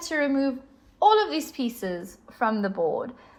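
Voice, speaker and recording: On a very clean recording with a silent background, a woman with a high pitch uses very wide pitch swings and speaks in a South African accent. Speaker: chess teacher. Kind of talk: tutorial.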